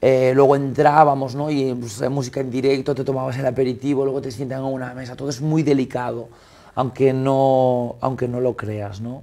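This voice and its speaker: This man speaks at a moderate pace with a medium pitch. His intonation stays monotone and flat. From Galicia, Spain (Esteiro, Muros); Galicia, Spain. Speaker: restaurateur and caterer; guest. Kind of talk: casual chat. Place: studio. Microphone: lapel.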